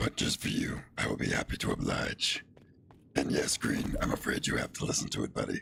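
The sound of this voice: Over clear background noise, a man puts on a character voice and speaks at a fairly quick pace.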